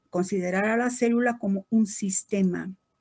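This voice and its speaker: The speaker is a woman with a somewhat breathy voice. She talks at a moderate pace. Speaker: biochemistry lecturer. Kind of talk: lecture.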